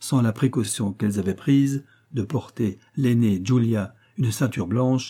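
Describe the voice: The plain reading aloud here has pitch that varies by an ordinary amount.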